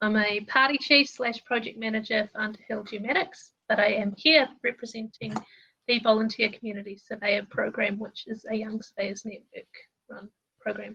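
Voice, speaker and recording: A woman with a New Zealand accent speaks at a moderate pace in a fairly high pitch, her intonation fairly even but her loudness swinging widely. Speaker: surveyor, project manager. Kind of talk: panel discussion.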